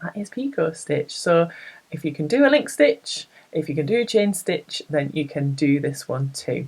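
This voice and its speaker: A speaker with a northern English accent. The pace is moderate. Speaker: embroidery crafter and blogger. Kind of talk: tutorial. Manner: casual, chatty with frequent 'um'.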